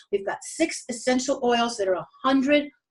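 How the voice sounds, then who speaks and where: A woman is talking. She speaks at a high pitch. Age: 60s. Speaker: network marketing presenter. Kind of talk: sales pitch. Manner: animated.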